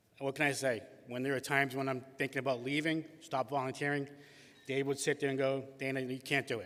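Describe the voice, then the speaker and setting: Fairly high-pitched man with a Boston accent at a fairly quick pace. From Boston, Massachusetts. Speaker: award-winning youth soccer volunteer and league president. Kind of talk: acceptance speech. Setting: stage with audience at a gala. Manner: halting.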